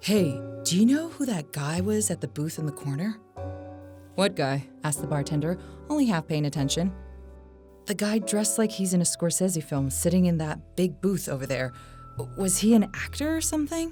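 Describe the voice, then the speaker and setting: Music plays in the background as the speech moves at a moderate pace. The pitch swings very widely, and long pauses come often. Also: woman, fairly low pitch for a woman. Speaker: podcast host. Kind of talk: ghost story narration.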